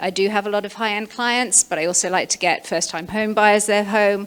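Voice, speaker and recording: With a British accent, a woman speaks at a medium pitch. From England (London). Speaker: real estate agent. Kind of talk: webinar presentation.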